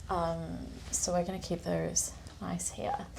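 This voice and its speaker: With a British accent, a woman speaks at a very slow pace. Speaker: vlogger. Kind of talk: casual vlog tour. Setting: apartment. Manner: soft-spoken.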